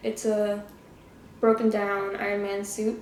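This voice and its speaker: Mumbling at a very slow pace, a woman speaks in a fairly high pitch with a dark, mellow tone and monotone, flat intonation. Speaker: YouTuber. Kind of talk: casual solo trivia game. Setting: living room. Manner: mumbling, slurred words.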